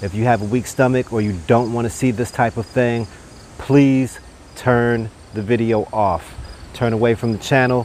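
A man speaks at a moderate pace with fairly even intonation. The sound is dry with no echo, over light background noise. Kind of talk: tutorial. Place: garden. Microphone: lapel.

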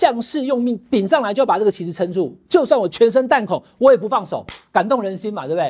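In a quiet setting, a man speaks at a fairly quick pace. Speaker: political commentator. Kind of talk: commentary. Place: studio. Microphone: lapel.

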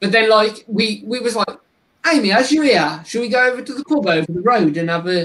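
A man speaks at a fairly quick pace in a West Midlands accent. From West Midlands England. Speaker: tarantula keeper and content creator; content creator. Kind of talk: casual chat on a livestream. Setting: live stream. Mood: jokey, relaxed. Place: home room. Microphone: video call.

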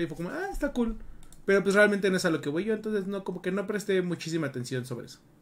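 Speaking very fast, a man uses lively intonation. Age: 30s. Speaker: gaming podcast co-host. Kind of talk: casual chat. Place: home room.

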